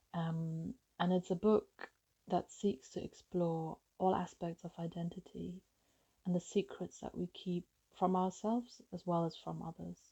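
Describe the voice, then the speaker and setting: A woman speaks at a fairly slow pace in a fairly low, somewhat breathy voice with a dark, mellow tone and fairly even intonation. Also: dry, close sound with no echo. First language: German. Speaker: novelist. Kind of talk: author talking about her book.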